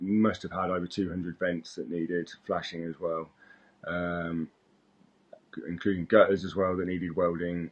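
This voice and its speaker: A man with a British accent speaks at a very deep, low pitch. His intonation is monotone and flat. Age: 30s. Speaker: roofer. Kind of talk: job interview self-introduction. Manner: hesitant, many fillers.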